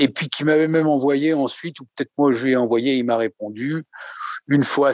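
A man with a fairly high pitch talks at a moderate pace with ordinary pitch variation. The recording is dry and close with no echo. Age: 60s. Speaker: psychoanalysis patient. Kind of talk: testimony. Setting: video call. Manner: halting.

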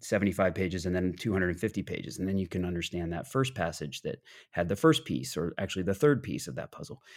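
A man's very deep, low voice with vocal fry and lively intonation at a very fast pace, in a very clean recording with a silent background. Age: 30s. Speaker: author and English teacher. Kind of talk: interview.

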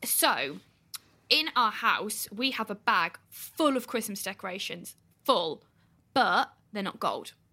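A woman with an English accent, fairly high in pitch, bright and sharp in tone, lively in intonation and very slow in pace. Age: 20s. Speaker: podcast co-host. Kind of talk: casual chat. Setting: video call.

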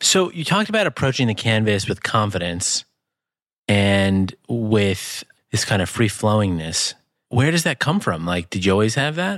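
Using a plain, everyday voice, a man with a fairly low pitch and lively intonation speaks at a moderate pace on a very clean, dry, close recording with no echo and a silent background. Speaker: podcast host and tech entrepreneur. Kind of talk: casual chat.

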